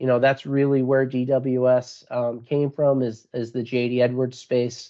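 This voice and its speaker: With an American accent, a man talks at medium pitch and a moderate pace. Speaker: sales manager. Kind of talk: webinar presentation. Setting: online webinar. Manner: many fillers and repetitions.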